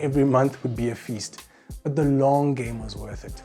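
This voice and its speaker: Music plays behind a man who speaks at a moderate pace with a South African accent. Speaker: voice actor; music producer. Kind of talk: casual talk to camera.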